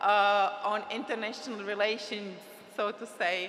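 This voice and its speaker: A woman's fairly high voice with a non-native accent, at a fairly slow pace, with audible room echo. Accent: foreign. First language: Czech. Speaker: trade agency representative. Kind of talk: conference speech. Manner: halting.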